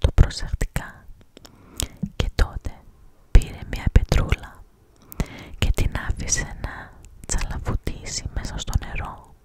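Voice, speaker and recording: Someone whispers at a fairly slow pace, the sound dry and close with no echo, over noticeable background noise. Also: woman. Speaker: ASMR creator. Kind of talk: whispered reading of a Greek short story. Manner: whispered, close-up.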